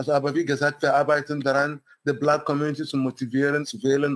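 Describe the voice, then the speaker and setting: The man's voice sits at a fairly high pitch. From Nigeria. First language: English and Igbo (speaking German). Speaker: city council candidate, scientist. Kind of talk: interview.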